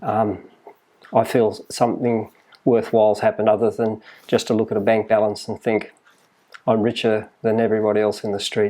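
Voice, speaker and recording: In an Australian accent, a man talks at a moderate pace in a fairly low, dark and mellow voice with monotone, flat intonation. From Australia, New South Wales (Maitland). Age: 60s. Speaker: health retreat owner. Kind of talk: interview. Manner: halting.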